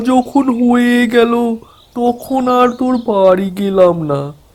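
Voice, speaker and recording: A man's cartoonish character voice, high in pitch, very slow, with ordinary pitch variation. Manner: warm, folksy.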